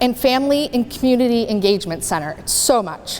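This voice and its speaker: Over noticeable background noise, a woman speaks loudly in an animated tone, with high pitch and lively intonation. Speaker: transition specialist speaking at a community panel. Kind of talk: presentation to an audience.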